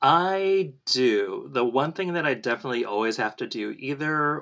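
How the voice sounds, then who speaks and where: The background is quiet. A man speaks with an American accent. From Southern California. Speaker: podcast supporter and Disney cast member. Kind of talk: casual chat.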